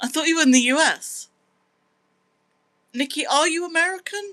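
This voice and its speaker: With a British accent, a woman sounds bright and sharp in tone and animated. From Britain. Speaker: live streamer. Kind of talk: casual live-stream chat. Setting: live stream reading chat.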